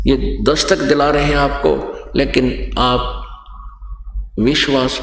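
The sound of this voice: A man talks slowly at a medium pitch. His pitch varies in an ordinary way, and room echo is audible.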